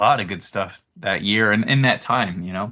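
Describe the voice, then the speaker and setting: A man speaks in a normal speaking voice at a fairly slow pace, with ordinary pitch variation. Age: 40s. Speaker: apparel company president. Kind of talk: casual chat.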